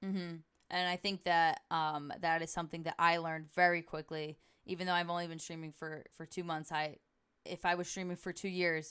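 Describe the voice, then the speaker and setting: Speaking at a fairly quick pace, a woman has a fairly low pitch, a bright, sharp tone and monotone, flat intonation, heard in a very clean recording with a silent background. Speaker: podcast host and Twitch streamer. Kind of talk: casual chat. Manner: fast.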